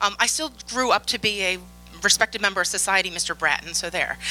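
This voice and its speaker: A woman with a Philadelphia accent at a fairly quick pace, with music in the background. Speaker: conference speaker, infosec professional. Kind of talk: conference talk. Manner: animated.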